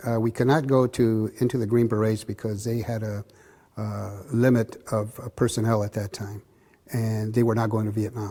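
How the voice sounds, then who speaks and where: A man with an American accent speaks at a medium pitch in a dark, mellow tone. His delivery is a flat monotone at a moderate pace, with long, frequent pauses. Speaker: boxing club founder, Vietnam-era veteran. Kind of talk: oral history interview answer. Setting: interview at boxing club.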